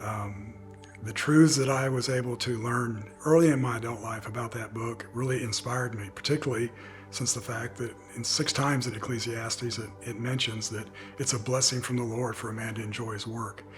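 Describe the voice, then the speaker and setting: Over music in the background, a man speaks at a fairly quick pace with a medium pitch and fairly even intonation. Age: 60s. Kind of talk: personal testimony. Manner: reflective, conversational.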